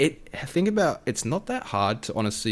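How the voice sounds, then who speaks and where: A man with an Australian accent. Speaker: food and fitness content creator. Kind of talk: casual chat. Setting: podcast recording.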